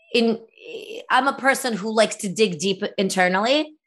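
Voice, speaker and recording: With an American accent and a normal speaking voice, a woman talks at a moderate pace and fairly high pitch. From former Soviet Union, raised in the US from age eight. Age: 40s. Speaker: author. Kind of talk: interview.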